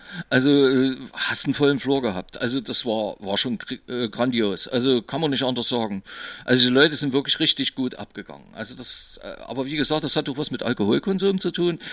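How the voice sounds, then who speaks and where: At a fairly quick pace, a man speaks with a medium pitch and a bright, sharp tone. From East Germany. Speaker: DJ. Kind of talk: casual chat.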